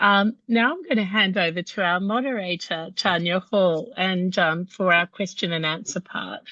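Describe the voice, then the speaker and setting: A woman with an Australian accent, medium pitch for a woman, ordinary pitch variation, a moderate pace and hardly any pauses. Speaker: patient organisation CEO, webinar host. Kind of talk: webinar hosting.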